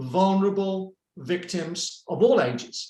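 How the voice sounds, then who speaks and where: A high-pitched man's voice with a British accent. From United Kingdom. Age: 60s. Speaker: retired prosecutor. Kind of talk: presentation. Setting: video call.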